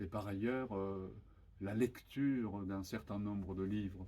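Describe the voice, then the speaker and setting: A man speaks at a fairly slow pace in a fairly low pitch, his dark, mellow tone carried by fairly even intonation. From Japan. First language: Japanese (speaking French). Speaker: author. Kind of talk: interview. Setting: bookshop event with audience. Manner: halting, many hesitations.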